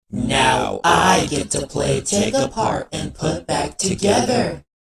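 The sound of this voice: A raspy, put-on character voice from a man, at a very slow pace.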